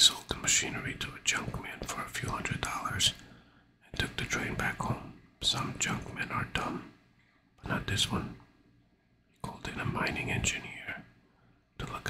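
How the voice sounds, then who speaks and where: Whispering at a moderate pace with long, frequent pauses, a man is heard over noticeable background noise. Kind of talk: audiobook reading. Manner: whispered.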